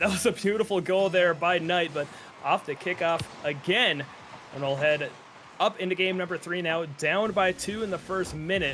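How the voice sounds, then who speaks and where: A man's high-pitched voice with an American accent, ordinary pitch variation and noticeable background noise. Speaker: esports caster. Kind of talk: live commentary. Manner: fast.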